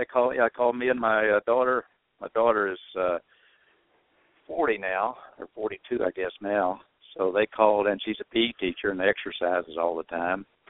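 With an American accent, a man talks at a moderate pace in an ordinary speaking voice with ordinary pitch variation. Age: 60s. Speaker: former reality show contestant. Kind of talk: casual chat. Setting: phone call.

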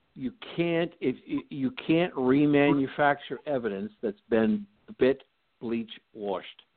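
Speaking at a very slow pace with long, frequent pauses, a man at a medium pitch keeps a lively intonation. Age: 70s. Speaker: author and commentator. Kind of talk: casual call-in interview. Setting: phone call.

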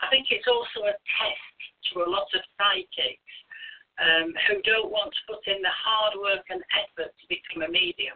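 Someone talks with a British accent at a moderate pace. The loudness swings widely. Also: woman. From Britain. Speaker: spiritualist minister and medium. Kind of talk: interview.

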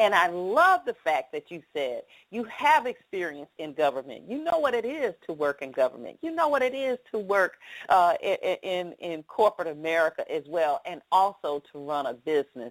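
A woman at medium pitch makes very wide pitch swings and big swings in loudness. The sound is dry and close with no echo, on a very clean recording with a silent background. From Atlanta, US South. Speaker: radio show host. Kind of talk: live radio interview. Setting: studio.

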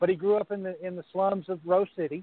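A man's high-pitched voice at a moderate pace. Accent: American. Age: 40s. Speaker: podcast co-host. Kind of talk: casual chat. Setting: live video stream.

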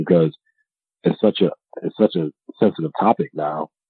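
The speaker is a man with fairly even intonation. He keeps a moderate pace. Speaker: podcast host. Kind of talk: casual chat. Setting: remote call with co-hosts. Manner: laid-back, laughs often.

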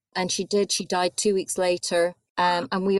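A woman speaks with an Edinburgh accent at a fairly low pitch. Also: dry, close sound with no echo. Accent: Scottish (Edinburgh). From Scotland, Edinburgh. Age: 40s. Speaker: author and journalist. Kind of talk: interview. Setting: remote call.

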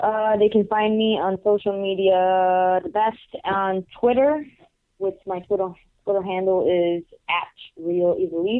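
Speaking with a Puerto Rican accent, a woman has a medium pitch and ordinary pitch variation. She talks at a fairly slow pace. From Puerto Rico. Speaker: professional wrestler. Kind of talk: interview. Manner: hesitant with many fillers.

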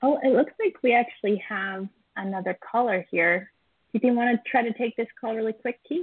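Using an ordinary speaking voice, a woman speaks with a fairly high pitch, ordinary pitch variation and a moderate pace. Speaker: podcast co-host. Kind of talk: casual chat.

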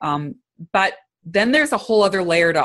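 A woman speaks with a Canadian accent. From Canada, small town in Alberta. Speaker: leadership consultant. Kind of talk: interview conversation.

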